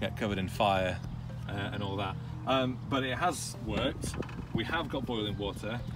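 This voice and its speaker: With music in the background, a man speaks at a moderate pace. His pitch varies in an ordinary way, and the sound is dry with no echo. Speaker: tech journalist on road trip. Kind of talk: casual vlog chat. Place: car.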